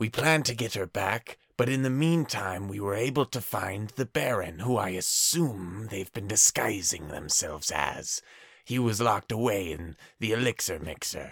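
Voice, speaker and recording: A man puts on a character voice at a medium pitch. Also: moderate pace. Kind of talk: staged message recording. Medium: actual play. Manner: urgent, improvised report.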